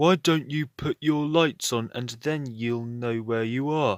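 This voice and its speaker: Using a put-on character voice at medium pitch, a man speaks at a fairly slow pace in a very clean recording with a silent background, the sound dry and close with no echo. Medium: read story.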